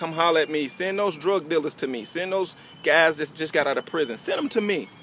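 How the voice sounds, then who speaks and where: Over noticeable background noise, a man with a fairly high pitch and ordinary pitch variation talks at a fairly quick pace. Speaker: network marketing recruiter. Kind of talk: motivational sales pitch. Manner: fast; animated.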